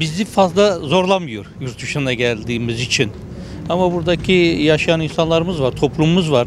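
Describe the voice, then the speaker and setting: Here a man talks at a moderate pace with a fairly high pitch and lively intonation. The sound is dry with no echo, and background noise is noticeable. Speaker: passer-by interviewee. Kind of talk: street interview. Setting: outdoors. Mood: serious, concerned about economy. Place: street. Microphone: handheld.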